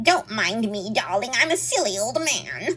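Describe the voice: A woman does a squeaky, put-on character voice at a fairly high pitch with very wide pitch swings. She keeps a moderate pace over faint background music.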